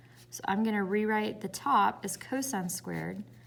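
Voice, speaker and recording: A woman with a Southern US accent sounds somewhat breathy, speaking at a moderate pace and medium pitch. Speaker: math teacher. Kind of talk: tutorial.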